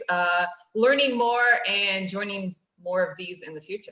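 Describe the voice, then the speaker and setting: A woman talks at a moderate pace with ordinary pitch variation and an American accent. It is a plain, everyday voice. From United States. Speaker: council garden staff member. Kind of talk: casual chat.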